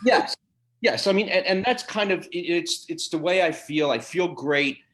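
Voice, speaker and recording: A man with a high voice speaks at a moderate pace with lively intonation. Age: 60s. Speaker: doctor. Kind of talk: interview. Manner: animated.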